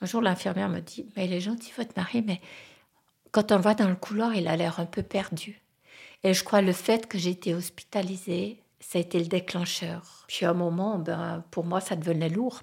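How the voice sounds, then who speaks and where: A woman's voice with vocal fry and fairly even intonation at a moderate pace, on a very clean recording with a silent background. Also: medium pitch for a woman. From French-speaking Switzerland. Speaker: interviewee sharing life story. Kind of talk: personal testimony. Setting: at her home in the countryside.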